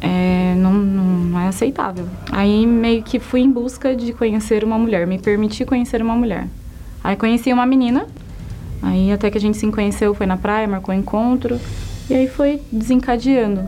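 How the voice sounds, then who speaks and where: A woman with a fairly high pitch speaks at a moderate pace with fairly even intonation and very even loudness. Music plays in the background. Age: young. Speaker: lawyer giving faith testimony. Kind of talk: testimony.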